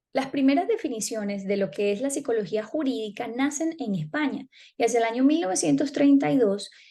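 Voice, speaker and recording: Speaking at a fairly quick pace, a woman uses a high pitch and a dark, mellow tone, with very wide swings in pitch. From Venezuela. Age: 30s. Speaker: psychology student. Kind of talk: class presentation. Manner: formal.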